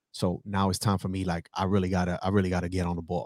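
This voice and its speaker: A man with a New York accent, talking at a very fast pace. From New York City (South Bronx). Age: 30s. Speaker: entrepreneur and former Marine. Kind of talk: casual interview.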